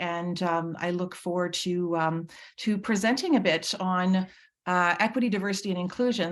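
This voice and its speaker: A woman talks at a moderate pace with ordinary pitch variation on a very clean recording with a silent background. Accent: Manitoban. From Manitoba, Canada (Red River Métis). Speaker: nursing professor. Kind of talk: conference presentation. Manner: halting.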